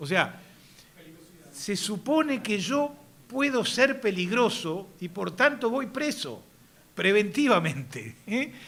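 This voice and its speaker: In a Uruguayan accent, a man speaks at a very slow pace with long, frequent pauses. His voice is high-pitched with a bright, sharp tone and very wide pitch swings. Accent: Rioplatense Spanish (Uruguayan). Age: 60s. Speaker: politician. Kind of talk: speech. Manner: halting, many fillers.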